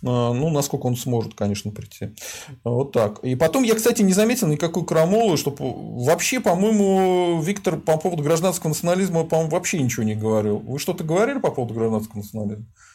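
A man's fairly high, dark and mellow voice at a very fast pace, with very wide pitch swings, on a very clean recording with a silent background. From Volga region, Russia. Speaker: sociologist hosting a stream. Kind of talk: casual live-stream interview.

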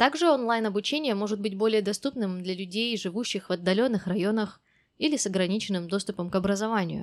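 Heard in a very clean recording against a silent background, a woman speaks very fast at a medium pitch with ordinary pitch variation. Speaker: English teacher podcast host. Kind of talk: monologue.

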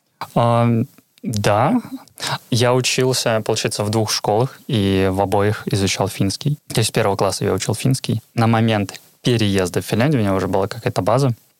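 An ordinary speaking voice moves at a moderate pace with fairly even intonation and very even loudness. The sound is dry and close, with no echo. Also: man, medium pitch for a man. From Karelia, Petrozavodsk. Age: 20s. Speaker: QA tester. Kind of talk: casual interview chat.

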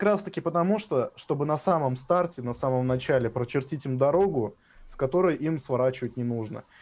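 A man with an unremarkable speaking voice talks fairly quickly at a fairly high pitch, with ordinary pitch variation. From Russia, Samara. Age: 20s. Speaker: drum and bass producer. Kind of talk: casual chat.

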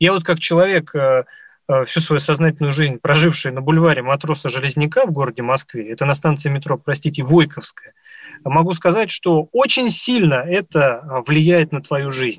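A man with a fairly high pitch and ordinary pitch variation sounds somewhat breathy. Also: moderate pace, dry, close sound with no echo. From Moscow. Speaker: radio host, journalist. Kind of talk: live radio talk.

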